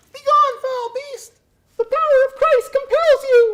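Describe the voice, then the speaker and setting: Pitched extremely high, a cartoonish character voice moves at a moderate pace. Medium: puppet.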